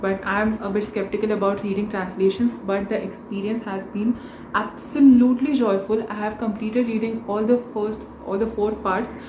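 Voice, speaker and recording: In a Marathi accent, a woman speaks at a moderate pace with a fairly high pitch and monotone, flat intonation, with audible room echo and noticeable background noise. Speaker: book vlogger. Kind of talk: casual vlog talk.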